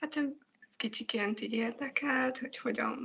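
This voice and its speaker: A woman with a normal speaking voice, fairly high pitch, fairly quick pace. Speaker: animation director. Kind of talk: interview answers.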